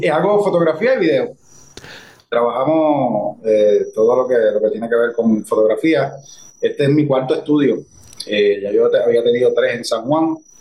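A man speaks with a Puerto Rican accent. His pace is moderate. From Puerto Rico, Guayanilla. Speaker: actor and director. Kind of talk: interview.

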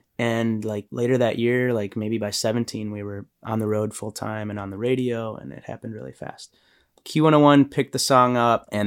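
A man with an American accent talks at a fairly quick pace in a normal speaking voice, with a fairly low pitch and big swings in loudness. The recording is very clean, with a silent background. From Illinois, Chicago area. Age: 30s. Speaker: musician. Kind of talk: interview.

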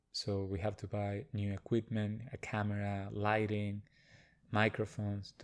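A man speaks with a Spanish accent in a fairly low pitch. His intonation is monotone and flat, and the background is quiet. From Argentina, Buenos Aires. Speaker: yoga teacher. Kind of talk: casual interview chat.

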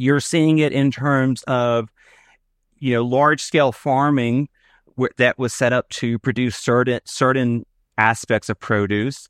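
A man with an American accent and an unremarkable speaking voice, medium pitch, fairly even intonation, a fairly slow pace and very even loudness, in a dry, close recording with no echo and a quiet background. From US South. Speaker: gerontologist professor. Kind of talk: interview.

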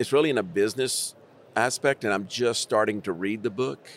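The recording is very clean and the background silent. It features a man with an American accent. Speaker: school district superintendent. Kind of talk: conversational panel discussion. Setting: recorded at an education conference.

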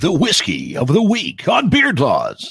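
Putting on a character voice, a man talks at a high pitch and a fairly slow pace. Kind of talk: announcer. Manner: cool.

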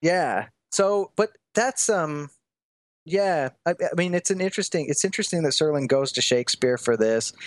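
A man with a Midwestern American accent talks at a moderate pace in a high pitch, his intonation lively. The sound is dry and close with no echo, and the background is quiet. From US Midwest, Des Moines, Iowa. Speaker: college teacher and author. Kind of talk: casual chat.

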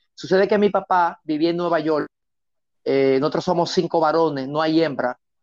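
Speaking at a very fast pace, a man with a fairly high voice is heard in a dry, close sound with no echo. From Dominican Republic, San Pedro de Macorís. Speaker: paramedic instructor. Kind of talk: interview storytelling. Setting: studio.

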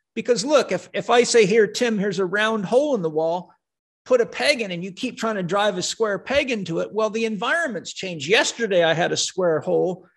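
With lively intonation and a high pitch, a man talks at a fairly quick pace. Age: 60s. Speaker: holistic health and fitness expert. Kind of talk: interview conversation. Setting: video call.

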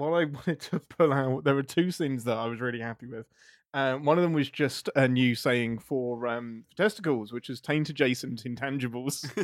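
Recorded very cleanly against a silent background, a man with a British accent speaks at a medium pitch and moderate pace with ordinary pitch variation. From England. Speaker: video writer. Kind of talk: casual chat.

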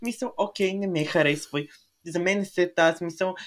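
On a very clean recording with a silent background, a man speaks at a moderate pace in a high voice. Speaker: podcast co-host. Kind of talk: casual chat.

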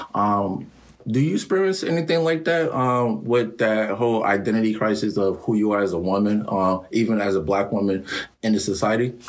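A man speaks in a plain, everyday voice at a fairly quick pace, his loudness very even. His pitch is fairly low, with ordinary variation. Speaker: podcast host. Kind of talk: casual interview chat.

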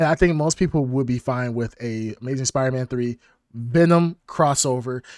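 A man with an unremarkable speaking voice speaks at a medium pitch. His pace is moderate, with ordinary pitch variation. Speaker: podcast host. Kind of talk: casual chat. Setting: live stream.

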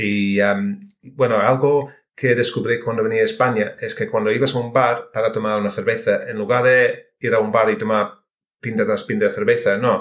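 Moderate-paced speech from a man with a British accent. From United Kingdom. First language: English (speaking Spanish). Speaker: software engineer and amateur cook. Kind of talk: interview. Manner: halting.

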